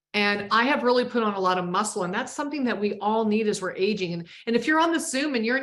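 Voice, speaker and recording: Here a woman has a plain, everyday voice. She speaks at a fairly quick pace and a fairly high pitch. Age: 60s. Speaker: wellness product distributor. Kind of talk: webinar product talk. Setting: live Zoom call.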